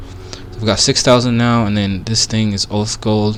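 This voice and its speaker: A man with a non-native accent at a fairly quick pace, amid noticeable background noise and audible room echo. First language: not English. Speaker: gaming streamer. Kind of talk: live gameplay commentary. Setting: live stream. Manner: casual, halting with fillers.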